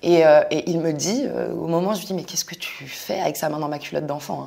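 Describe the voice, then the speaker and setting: A woman speaks at a very fast pace. Her very deep, low voice carries vocal fry. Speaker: content creator. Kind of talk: testimony.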